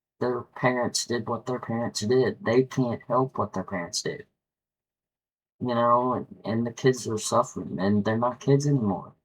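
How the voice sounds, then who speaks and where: A man talks at medium pitch with a slight West Virginia accent. His pace is moderate, with ordinary pitch variation. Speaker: YouTuber. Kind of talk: casual monologue. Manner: halting, frequent repetitions.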